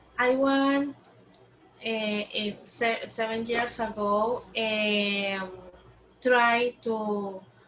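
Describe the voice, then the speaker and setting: Very slow, monotone speech with flat intonation and long, frequent pauses, in a Spanish accent. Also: woman, fairly high pitch for a woman. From Colombia. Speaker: program intern and teacher. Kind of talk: interview. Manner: halting.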